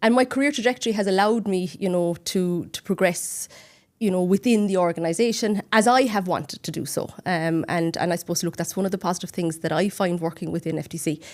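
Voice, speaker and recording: On a very clean recording with a silent background, a woman with a Cork accent speaks at a very fast pace, her medium pitch showing ordinary variation. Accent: Cork accent, stands out. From Ireland, Cork. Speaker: accountant and regional manager. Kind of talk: podcast interview. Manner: hesitant fillers and repetitions.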